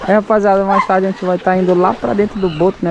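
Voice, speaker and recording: A man's voice with a dry sound and no echo, over noticeable background noise. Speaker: travel vlogger. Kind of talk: casual vlog chat. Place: waterside. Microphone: phone near.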